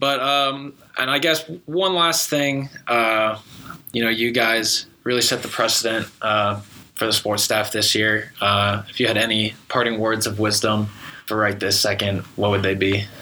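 The voice keeps very even loudness and ordinary pitch variation. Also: man, medium pitch for a man. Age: young. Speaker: student sports podcast host. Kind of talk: casual chat.

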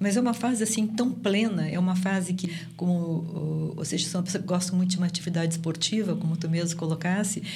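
Amid noticeable background noise and audible room echo, a woman speaks at a fairly low pitch with very even loudness and fairly even intonation. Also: fairly quick pace. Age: 70s. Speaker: sociologist and professor. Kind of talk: interview.

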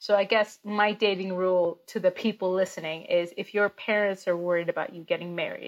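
A woman speaks in a plain, everyday voice at a moderate pace with a medium pitch. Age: 30s. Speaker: comedian. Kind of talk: casual chat. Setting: video call.

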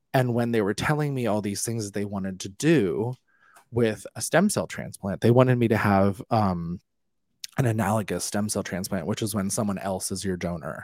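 A man with an American accent speaks in a plain, everyday voice at a fairly low pitch, with ordinary pitch variation and a moderate pace. The sound is dry and close with no echo, on a very clean recording with a silent background. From US. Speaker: musical theatre actor and author. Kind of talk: interview.

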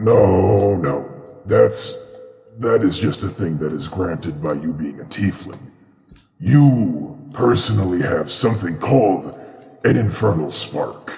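A man's put-on character voice, fairly low-pitched and fairly slow, with slight echo. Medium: actual play. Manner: speaks into the listener's mind.

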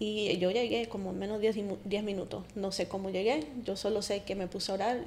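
A woman with an unremarkable speaking voice talks at a moderate pace in a medium pitch, her intonation fairly even. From Colombia, raised mostly in US. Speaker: wife of guest. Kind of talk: testimony.

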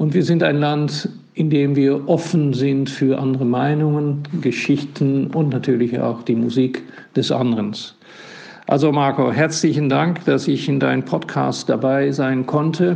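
A man's fairly high voice at a fairly slow pace, with very even loudness, fairly even intonation and audible room echo. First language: Dutch (speaking German). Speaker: ambassador. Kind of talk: voice message. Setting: WhatsApp voice message. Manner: halting.

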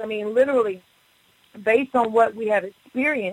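A woman with an ordinary speaking voice and a fairly high pitch speaks at a moderate pace with ordinary pitch variation, the sound dry and close with no echo. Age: 40s. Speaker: pastor. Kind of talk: radio interview testimony.

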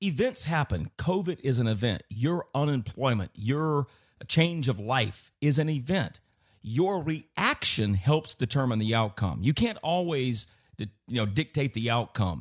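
A man with an unremarkable speaking voice talks at a fairly slow pace in a medium pitch, with lively intonation. The sound is dry and close with no echo, over a quiet background. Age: 50s. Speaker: investment advisor. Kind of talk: casual chat.

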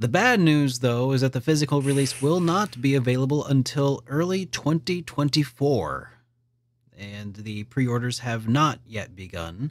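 The recording is very clean, with a silent background. A man with a medium pitch and an unremarkable speaking voice talks at a moderate pace with lively intonation. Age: 30s. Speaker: gaming news podcast host. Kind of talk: casual chat.

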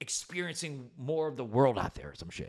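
In a very clean recording with a silent background, a man talks at a moderate pace in an energetic tone with ordinary pitch variation. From New Jersey (central). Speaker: radio host. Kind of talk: casual interview. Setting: studio.

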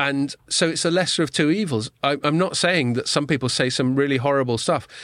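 Against a quiet background, a man with a fairly high voice talks at a moderate pace with lively intonation. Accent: English. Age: middle-aged. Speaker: podcast host. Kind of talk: casual chat. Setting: studio.

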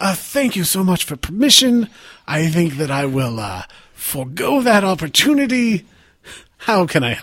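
A put-on character voice sits at a middle pitch with very wide pitch swings. Its pace is moderate. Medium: actual play. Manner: overly polite, dry, sarcastic.

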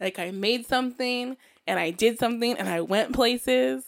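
A woman speaks at a moderate pace in a fairly high pitch. She has an ordinary speaking voice. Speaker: podcast host. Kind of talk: casual chat.

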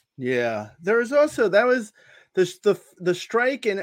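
Spoken at a moderate pace with very wide pitch swings and an American accent, the clip is very clean with a silent background. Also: man. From New Jersey. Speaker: fantasy baseball writer and former comedy writer. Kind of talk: casual chat. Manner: animated.

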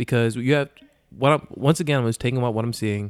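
A man's voice at a medium pitch with fairly even intonation, an unremarkable speaking voice, on a very clean recording with a silent background. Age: 20s. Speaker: podcast guest. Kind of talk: casual chat.

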